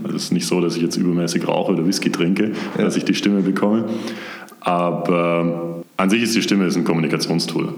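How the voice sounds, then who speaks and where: Very deep, low male voice at a very fast pace, fairly even in intonation and very even in loudness, with audible room echo and noticeable background noise. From Swabia, near Stuttgart. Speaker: brand manager at a software startup. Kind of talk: interview.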